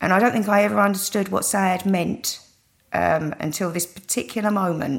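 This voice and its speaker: Speaking in a British accent, a woman shows ordinary pitch variation. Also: medium pitch for a woman, moderate pace. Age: 40s. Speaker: cardiac arrest survivor. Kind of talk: interview testimony.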